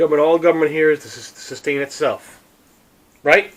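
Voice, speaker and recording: This man's voice sits at a fairly high pitch and carries vocal fry. He keeps a moderate pace. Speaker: podcast host. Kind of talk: political rant. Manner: animated.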